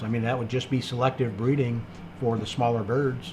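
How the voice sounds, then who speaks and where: In a medium-pitched, somewhat breathy voice, a man talks at a moderate pace with ordinary pitch variation. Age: 60s. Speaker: livestream host, quail breeder. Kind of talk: live stream Q&A, reading chat comments. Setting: live stream. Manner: casual, many fillers.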